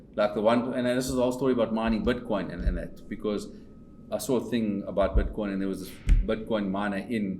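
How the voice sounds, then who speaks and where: A man talks very fast in a room with audible echo while music plays in the background. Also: medium pitch for a man. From South Africa, Pretoria. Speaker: company owner and investor. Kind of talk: casual chat. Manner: animated; repetitive stammering restarts.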